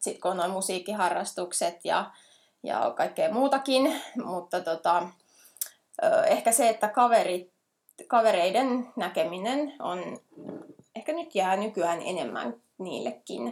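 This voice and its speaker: A woman speaks at a very slow pace, with long, frequent pauses. Her fairly high voice moves through very wide pitch swings. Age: 30s. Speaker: ultra trail runner and animal care teacher. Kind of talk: casual interview.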